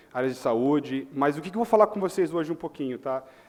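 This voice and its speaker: A man with a Chicago accent and ordinary pitch variation. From US Midwest, Chicago. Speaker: tech company manager, panel speaker. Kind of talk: conference talk.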